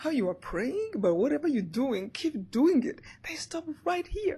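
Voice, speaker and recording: A woman with a Rwandan accent, high in pitch, at a moderate pace with very wide pitch swings. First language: Kinyarwanda. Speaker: motivational speaker and author. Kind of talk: interview answer.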